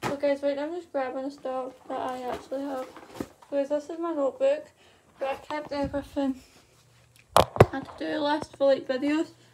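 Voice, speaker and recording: A woman talks at a fairly quick pace. Loud background noise runs underneath. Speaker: vlogger. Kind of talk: casual vlog chat. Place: home room. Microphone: phone near.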